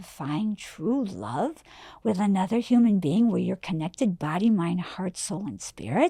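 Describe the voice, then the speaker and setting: Very clean and silent in the background, the recording captures a woman with a dark, mellow, somewhat breathy tone. She speaks fairly slowly, her pitch swinging very widely. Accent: American. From Wisconsin, US Midwest. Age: 60s. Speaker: life coach. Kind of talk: interview. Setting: studio. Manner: animated.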